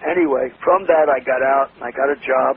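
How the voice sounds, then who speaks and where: A man speaks in a New York accent at a fairly high pitch. Noticeable background noise runs under his voice. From New York City, Lower East Side. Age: 80s+. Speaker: entrepreneur. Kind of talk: interview.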